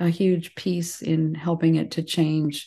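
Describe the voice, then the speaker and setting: A woman speaks in a fairly low pitch with a dark, mellow, warm tone over a quiet background. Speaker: podcast host and massage therapist. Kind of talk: casual interview chat. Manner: warm, chatty, laughs often.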